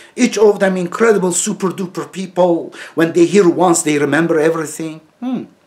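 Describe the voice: A man's fairly high pitch with a slightly mellow tone, ordinary pitch variation, and a fairly quick pace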